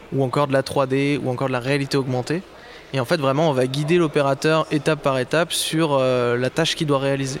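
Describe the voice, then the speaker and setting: This man's voice sits at a medium pitch. He speaks in a flat, monotone way. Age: 20s. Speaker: project manager at a tech start-up. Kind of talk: interview. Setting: live at a trade fair.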